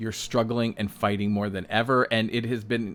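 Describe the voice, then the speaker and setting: A man talks at a moderate pace and a fairly low pitch. Music plays in the background. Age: 60s. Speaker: self-employed designer and vlogger. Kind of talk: casual monologue vlog. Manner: conversational, filler-heavy.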